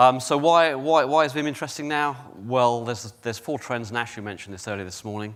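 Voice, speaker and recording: A man with a British accent talks at a very fast pace with ordinary pitch variation in a very clean recording with a silent background. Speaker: company executive presenter. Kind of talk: conference presentation. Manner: hesitant, many fillers.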